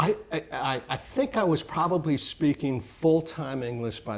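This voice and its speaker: A man talks with lively intonation at a moderate pace, with noticeable background noise in the recording. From Mexico City, raised in US from age 3-4. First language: Spanish. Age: 50s. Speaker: business owner, real estate CEO. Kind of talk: casual interview.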